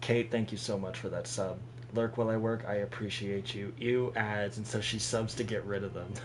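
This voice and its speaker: Over noticeable background noise and audible room echo, a man of medium pitch speaks at a moderate pace with a monotone, flat intonation. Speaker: gaming streamer. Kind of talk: live game stream commentary. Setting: live stream. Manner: casual, thinking aloud.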